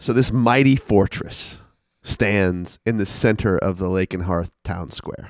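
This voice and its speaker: Animated in tone, a man with a fairly low pitch and ordinary pitch variation speaks at a fairly slow pace in a dry, close sound with no echo. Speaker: podcast host and dungeon master. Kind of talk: tabletop role-playing game session. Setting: in person in a rented room.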